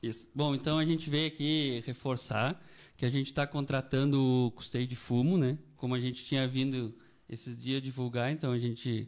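On a very clean recording with a silent background, a man with a plain, everyday voice and medium pitch talks at a moderate pace with fairly even intonation. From Canguçu, Rio Grande do Sul, Brazil. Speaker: agricultural credit officer. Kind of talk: radio interview.

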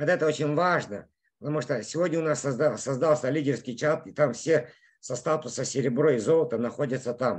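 A man at a fairly quick pace, fairly high in pitch with ordinary pitch variation, in a quiet background. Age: 50s. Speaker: network marketing leader; presenter. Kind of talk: sales pitch. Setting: in a car. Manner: animated. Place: home room. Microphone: video call.

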